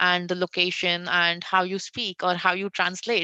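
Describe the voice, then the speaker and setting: A woman with an Indian accent speaks in a bright, sharp tone and a monotone, flat intonation, against a quiet background. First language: Hindi. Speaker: conversational AI designer. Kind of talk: interview on tech panel. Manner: frequent fillers (uh).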